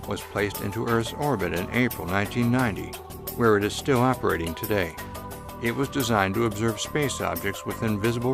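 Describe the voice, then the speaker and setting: Music in the background behind a man at medium pitch, with ordinary pitch variation and a fairly quick pace. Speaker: voice-over narrator. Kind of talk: documentary narration.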